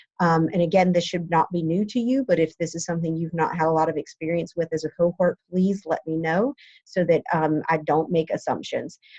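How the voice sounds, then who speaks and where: A woman with an American accent speaks at a fairly quick pace with hardly any pauses, her fairly low pitch carrying a dark, mellow tone, somewhat breathy, with ordinary pitch variation, in a dry, close sound with no echo. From Ohio. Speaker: professor. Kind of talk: lecture. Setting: office at school. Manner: hesitant, many fillers.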